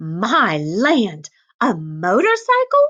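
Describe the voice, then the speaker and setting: A woman uses a put-on character voice at a fairly high pitch. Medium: read story. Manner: disapproving.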